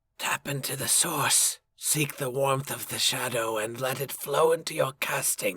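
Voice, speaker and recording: A man does a put-on character voice, creaky, raspy and rumbling, at a medium pitch and moderate pace with fairly even intonation. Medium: read story.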